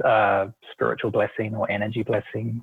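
A man speaks with a New Zealand accent. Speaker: Reiki and meditation practitioner. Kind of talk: interview.

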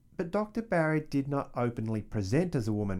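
A dark, mellow tone with lively intonation and an Australian accent, on a very clean recording against a silent background. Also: man. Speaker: history podcast host. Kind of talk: scripted narration.

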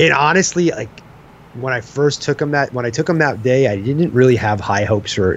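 Here a man speaks in a normal speaking voice at medium pitch. He goes at a fairly quick pace with lively intonation. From Long Island, New York. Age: 40s. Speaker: hunting podcaster. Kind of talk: casual chat.

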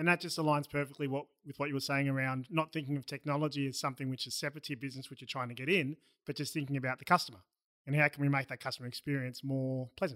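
Very fast speech with an Australian accent has a bright, sharp tone and fairly even intonation, recorded very cleanly against a silent background with a dry, close sound and no echo. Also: man, fairly high pitch for a man. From Melbourne, Australia. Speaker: podcast host. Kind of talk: casual interview. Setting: studio.

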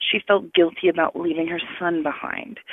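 A woman with an unremarkable speaking voice talks at a moderate pace, her fairly low pitch carried in fairly even intonation. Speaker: podcast listener and podcaster. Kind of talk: voicemail message. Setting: phone call.

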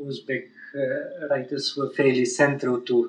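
A man talks with a Bulgarian accent. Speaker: professor. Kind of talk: interview. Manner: halting.

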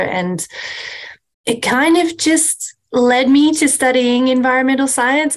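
Australian accent from a woman.

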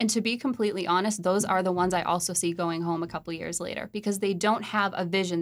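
A woman with an American accent speaks very fast in a fairly low voice, her intonation fairly even. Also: very clean recording, silent background. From Massachusetts, New England. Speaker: singer-songwriter and media entrepreneur. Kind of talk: interview conversation. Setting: studio.

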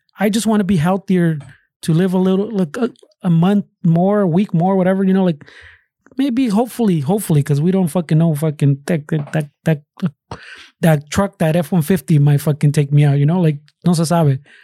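Dry and close with no echo, a man's high voice has a dark, mellow tone, very even loudness, and a fairly quick pace. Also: ordinary pitch variation, very clean recording, silent background. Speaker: podcast host. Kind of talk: casual banter, ad read. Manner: joking, profane, code-switching.

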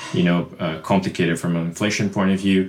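With a Portuguese accent, a man talks at a very fast pace in a fairly low pitch over noticeable background noise. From Brazil. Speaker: crypto product executive. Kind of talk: casual panel discussion. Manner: halting, with frequent repetitions.

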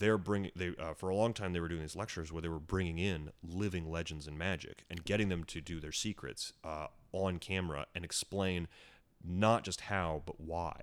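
The man's pitch is very deep and low. His intonation stays fairly even at a moderate pace. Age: 30s. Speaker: magician and comedian. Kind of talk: casual chat. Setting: in the host's home.

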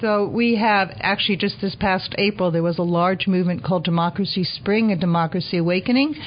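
With an unremarkable speaking voice, a woman talks at medium pitch with ordinary pitch variation. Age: 60s. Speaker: elder activist. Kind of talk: interview. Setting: studio.

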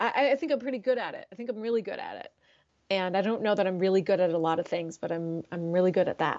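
A plain, everyday voice from a woman, medium-pitched with lively intonation. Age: 40s. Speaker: therapist. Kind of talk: casual chat.

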